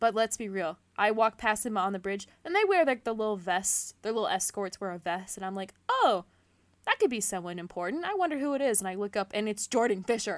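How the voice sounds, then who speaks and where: The voice has a bright, sharp tone and an American accent. The pace is fairly quick. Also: woman. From US Midwest. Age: 20s. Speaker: podcast co-host, zoo life support worker. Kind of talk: casual chat.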